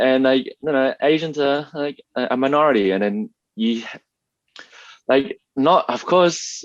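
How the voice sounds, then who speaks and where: Speaking fairly slowly with long, frequent pauses, a man with an Australian accent and a fairly high pitch shows ordinary pitch variation in a dry, close sound with no echo. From Australia, Melbourne. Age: 30s. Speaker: YouTuber, former engineer. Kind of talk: interview.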